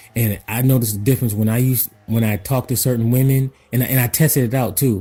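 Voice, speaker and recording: Over music in the background, a man with a medium pitch talks very fast with fairly even intonation and very even loudness. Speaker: personal development consultant. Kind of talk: motivational talk to camera. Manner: casual, repetitive with filler words.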